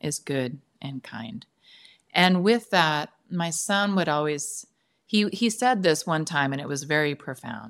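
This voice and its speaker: A woman's very deep, low voice with lively intonation at a fairly slow pace. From San Francisco Bay Area, US. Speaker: author and former teacher. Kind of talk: casual interview.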